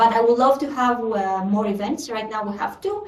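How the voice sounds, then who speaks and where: A woman with a Greek accent speaks at a high pitch and moderate pace, with ordinary pitch variation and audible room echo. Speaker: community meeting host. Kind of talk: online meeting update. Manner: hesitant, many fillers.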